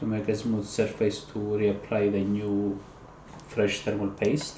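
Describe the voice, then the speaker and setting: Over noticeable background noise, someone with a non-native accent speaks at a fairly slow pace in a monotone, flat way. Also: man, fairly low pitch for a man. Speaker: PC repair hobbyist. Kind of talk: tutorial voice-over. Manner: casual, hesitant.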